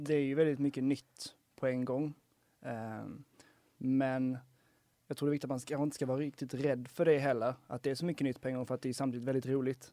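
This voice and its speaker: Speaking at a fairly quick pace, a man has a dark, mellow tone and monotone, flat intonation. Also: medium pitch for a man. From Skåne, Helsingborg. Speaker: university student. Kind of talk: casual chat.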